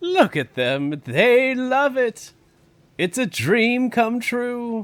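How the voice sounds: Putting on a character voice, a man speaks at a very slow pace with an extremely high pitch. His tone is fairly bright, and his pitch swings are big.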